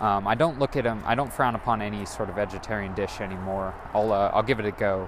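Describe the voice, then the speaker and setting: Over noticeable background noise, the speaker races along at a very fast pace with hardly any pauses, fairly even intonation and an American accent. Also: man, fairly low pitch for a man. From US West Coast, Monterey, California. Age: 20s. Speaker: solo podcaster. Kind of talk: casual solo monologue. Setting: home kitchen; outdoors, walking to a store. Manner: droning.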